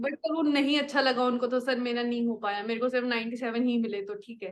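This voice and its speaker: A woman with a high pitch, fairly even intonation and a moderate pace. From Haryana, India. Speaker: successful exam candidate. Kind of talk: interview. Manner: polite, frequent 'sir' fillers.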